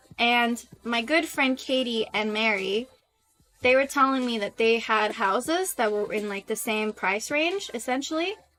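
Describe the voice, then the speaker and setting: With music in the background, a woman talks at a fairly high pitch with ordinary pitch variation. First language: not English; English is third language. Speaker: streamer. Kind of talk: casual chat.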